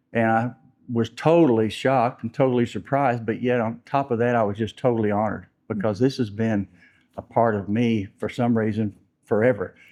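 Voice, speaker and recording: A man's dark, mellow voice at medium pitch, with fairly even intonation and a fairly quick pace over a quiet background. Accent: American. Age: 70s. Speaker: retired bank board chairman. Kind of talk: interview. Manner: halting.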